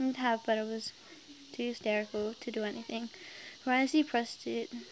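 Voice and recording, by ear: A natural voice reading aloud, intonation fairly even throughout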